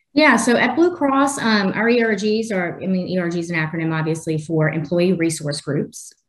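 A somewhat breathy woman at a medium pitch, with lively intonation, a moderate pace and hardly any pauses. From New Orleans, Louisiana. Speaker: technology leader. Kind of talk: interview.

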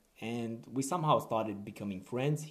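A man with a non-native accent, a moderate pace and ordinary pitch variation. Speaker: podcast host. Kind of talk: casual monologue.

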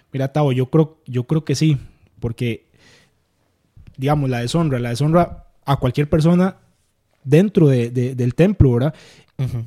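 With a dark, mellow tone, a man talks at a fairly slow pace with ordinary pitch variation and long, frequent pauses. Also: medium pitch for a man, dry, close sound with no echo. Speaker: youth pastor and church sound technician. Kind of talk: casual interview about faith. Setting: at home.

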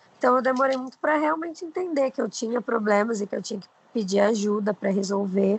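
Through noticeable background noise, a woman with a fairly high pitch and lively intonation talks at a very fast pace. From Brazil, Osasco (São Paulo). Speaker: social media influencer. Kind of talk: casual interview chat.

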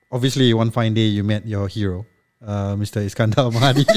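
A man talks in an animated tone at a medium pitch. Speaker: podcast host. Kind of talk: casual comedic banter. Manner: animated, joking.

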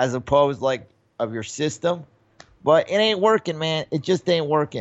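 This man has an unremarkable speaking voice. His pitch sits fairly high. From New York. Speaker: podcast co-host and comedian. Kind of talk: casual chat.

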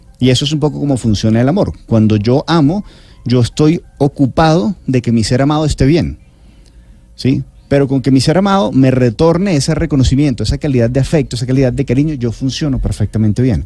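Somewhat breathy and dark, mellow in tone, a man's medium-pitched voice holds a very even loudness. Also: ordinary pitch variation, fairly quick pace. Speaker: health author and speaker. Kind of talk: interview answering listener questions.

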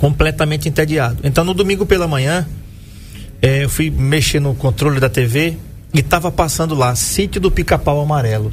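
Audible room echo and noticeable background noise around speech at a moderate pace with ordinary pitch variation. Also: man, fairly high pitch for a man. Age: 50s. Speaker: radio health show host. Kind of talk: radio interview.

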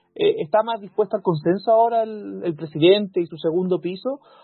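A man with lively intonation at a moderate pace, music playing in the background. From Chile, Valparaíso region. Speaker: podcast host. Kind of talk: casual chat.

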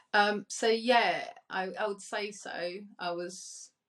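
A woman with a British accent. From Colombia, Cali; raised in UK from age 10. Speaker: digital marketing agency owner. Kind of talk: panel discussion.

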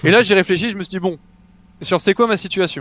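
Dry, close sound with no echo on a man's voice showing ordinary pitch variation. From southeastern France (Mougins, near Cannes). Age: 20s. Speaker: esports player and streamer. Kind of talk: interview.

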